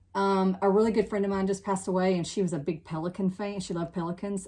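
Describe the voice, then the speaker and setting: A woman at a very fast pace against noticeable background noise. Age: 60s. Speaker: cross-stitch hobbyist vlogger. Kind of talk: casual chat.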